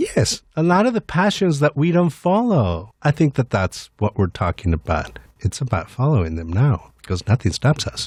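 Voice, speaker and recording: Very wide pitch swings mark this somewhat breathy voice, delivered at a moderate pace with hardly any pauses in a very clean, silent recording that sounds dry and close with no echo. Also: man, medium pitch for a man. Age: 50s. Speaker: executive director of an HIV/AIDS service nonprofit. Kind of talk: radio interview. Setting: studio.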